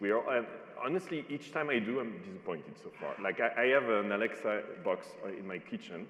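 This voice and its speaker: Amid noticeable background noise, a man with a non-native accent speaks at a moderate pace with lively intonation. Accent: foreign accent, noticeable. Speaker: panel moderator. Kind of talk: panel discussion.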